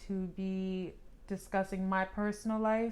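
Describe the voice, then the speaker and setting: Speaking at a fairly slow pace, a woman uses a medium pitch and a monotone, flat intonation. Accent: American. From US Northeast (New Jersey, Pennsylvania). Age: 30s. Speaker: vlogger. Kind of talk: vlog monologue. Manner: casual, with fillers.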